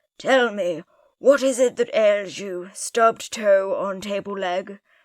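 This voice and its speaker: Using a put-on character voice, a woman talks at medium pitch. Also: fairly slow pace. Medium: read story. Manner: formal, solemn.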